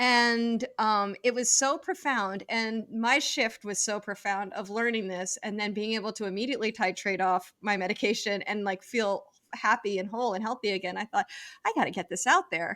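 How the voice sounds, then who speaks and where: A woman's bright, sharp voice in an American accent, fairly high in pitch, at a moderate pace with ordinary pitch variation. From US East Coast. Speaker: psychologist and author. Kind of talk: interview. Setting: podcast.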